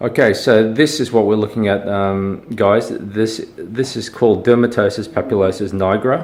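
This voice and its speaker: The speech moves at a moderate pace with hardly any pauses and ordinary pitch variation. Noticeable background noise sits behind it. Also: man, fairly low pitch for a man. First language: Malay. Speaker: dermatologist. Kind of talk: tutorial. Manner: casual, hesitant with many fillers.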